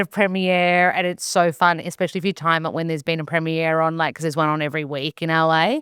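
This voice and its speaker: In an Australian accent, a woman talks at a very fast pace on a very clean recording with a silent background and a dry, close sound with no echo. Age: 30s. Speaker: nutritionist and actor. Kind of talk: casual chat. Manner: animated.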